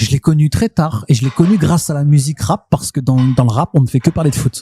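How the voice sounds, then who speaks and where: Speaking at a very fast pace, a man with a fairly high pitch uses lively intonation and a dark, mellow tone that is somewhat breathy, recorded dry and close with no echo. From Le Havre, Normandy, northern France. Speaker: rapper. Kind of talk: casual interview chat. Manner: rolls extra Rs in words; repeats words, hesitant.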